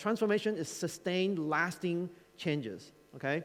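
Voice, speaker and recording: The voice belongs to a man. Pitch moves up and down with ordinary variation. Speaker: conference keynote speaker. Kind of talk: conference talk. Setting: stage with audience. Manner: fast; animated.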